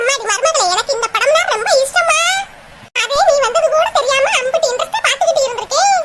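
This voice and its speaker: A woman's cartoonish character voice at extremely high pitch, with lively intonation, a moderate pace and light background noise. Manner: sugary, coaxing, calling her "ammadi".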